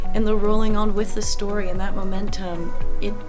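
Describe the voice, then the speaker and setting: A woman with a fairly high pitch and fairly even intonation speaks over music in the background. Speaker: voice actor. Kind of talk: interview answer.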